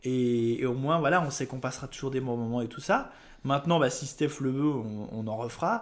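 A man's medium-pitched speech comes at a moderate speed, with pitch shifting in an ordinary way. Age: 20s. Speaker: local radio presenter. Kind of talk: casual chat. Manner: halting.

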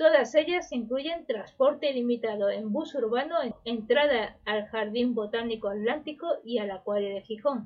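A woman speaks in a high voice at a fairly slow pace, with ordinary pitch variation and hardly any pauses. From Spain, Málaga. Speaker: news podcast host. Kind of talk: news reading.

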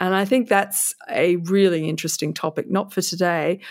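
Fairly low in pitch, a woman with an Australian accent speaks at a moderate pace with fairly even intonation. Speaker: author and former stockbroker. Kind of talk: interview.

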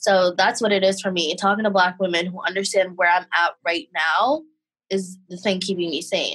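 This woman has a plain, everyday voice at medium pitch. She speaks at a moderate pace with ordinary pitch variation. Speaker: podcast co-host. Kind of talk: casual chat.

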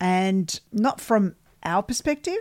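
A woman speaks with an Australian accent and very wide pitch swings. The recording is very clean, with a silent background. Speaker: podcast host and ghost hunter. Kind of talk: casual chat podcast.

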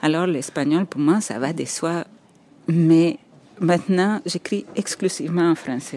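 Speaking at a very slow pace, a woman has a dark, mellow tone and a fairly low pitch. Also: ordinary pitch variation. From El Salvador. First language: Spanish (speaking French). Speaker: architect and writer. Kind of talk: interview, personal storytelling. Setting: on location walking around Montreal. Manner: halting, repeats words.

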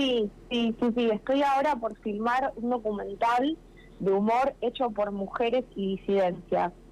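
Using a plain, everyday voice, a woman speaks at a fairly slow pace with a fairly high pitch, ordinary pitch variation and very even loudness. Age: 30s. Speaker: documentary filmmaker. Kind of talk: radio interview.

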